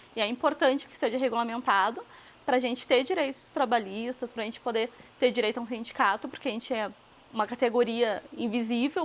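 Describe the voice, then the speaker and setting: Very fast pace with ordinary pitch variation. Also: woman. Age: 20s. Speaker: sex worker and activist. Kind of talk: interview.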